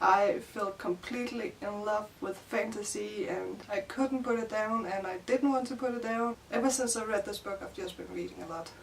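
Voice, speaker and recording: A woman speaks in a Danish accent at a moderate pace, her voice fairly high with ordinary pitch variation. Noticeable background noise runs behind her. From Denmark. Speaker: book youtuber. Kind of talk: casual vlog. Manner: casual, filler-heavy.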